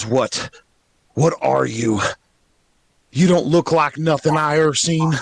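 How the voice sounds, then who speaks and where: Putting on a character voice, a man speaks fairly slowly at a fairly high pitch, with long, frequent pauses. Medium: actual play.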